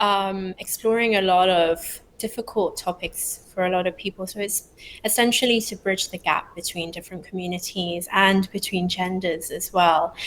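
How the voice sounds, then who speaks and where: A woman with a British accent speaks at a medium pitch. She keeps a moderate pace with hardly any pauses. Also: fairly even intonation. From London, England. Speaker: startup founder. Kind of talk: interview.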